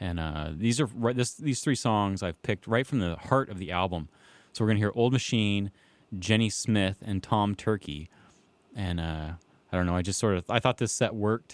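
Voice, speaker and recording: In a plain, everyday voice, a man speaks at a moderate pace and fairly low pitch, with ordinary pitch variation. The recording is very clean and dry, close with no echo, over a silent background. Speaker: radio host. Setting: studio. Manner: laid-back, rambling, filler-heavy with frequent 'um' and 'uh', easygoing.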